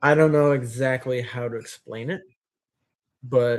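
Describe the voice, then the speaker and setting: Speaking at medium pitch, a man shows ordinary pitch variation. He keeps a fairly slow pace. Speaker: YouTuber hosting live Q&A. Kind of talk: live stream Q&A chat. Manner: halting; sounds mad when explaining viewpoint.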